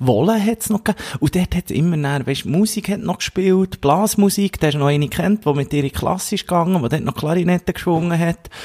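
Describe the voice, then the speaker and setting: A high-pitched man talks at a fairly quick pace with hardly any pauses and ordinary pitch variation. The recording sounds dry and close, with no echo. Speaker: podcast co-host. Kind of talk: casual chat. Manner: animated.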